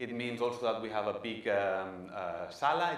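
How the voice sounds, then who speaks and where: Noticeable background noise and audible room echo both come through as a man speaks. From Spain, Barcelona. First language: Spanish or Catalan. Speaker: architect. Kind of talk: presentation talk. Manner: halting, many fillers.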